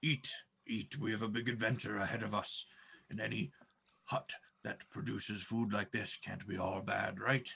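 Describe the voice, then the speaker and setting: Putting on a character voice, a man speaks at medium pitch and a moderate pace, with long, frequent pauses. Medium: actual play. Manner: hearty, enthusiastic.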